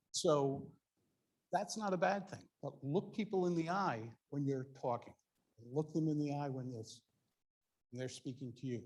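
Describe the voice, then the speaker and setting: A man's somewhat breathy, fairly high voice at a moderate pace, with ordinary pitch variation. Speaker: public speaking coach. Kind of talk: workshop presentation.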